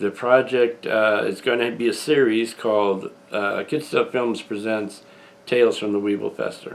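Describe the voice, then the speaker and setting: Noticeable background noise sits behind a man speaking at a medium pitch and moderate pace, his intonation fairly even. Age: 60s. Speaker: independent filmmaker and channel owner. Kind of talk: video announcement monologue. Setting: at home, front room.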